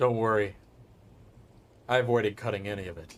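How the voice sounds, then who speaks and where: A man's put-on character voice, fairly low and calm in tone, delivered at a fairly quick pace. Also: fairly even intonation. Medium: actual play. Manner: calm, terse.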